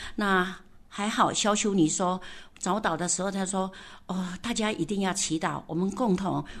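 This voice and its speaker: A woman speaks at a fairly slow pace and medium pitch in a plain, everyday voice. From Taitung, Taiwan. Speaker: senior hospital staff, village leader. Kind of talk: personal storytelling interview.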